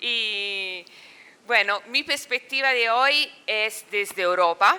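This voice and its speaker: Speaking very slowly, a woman with a non-native accent uses a fairly high pitch and ordinary pitch variation. Her tone is bright and sharp. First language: Italian (speaking Spanish). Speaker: political science professor. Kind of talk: academic talk. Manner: halting.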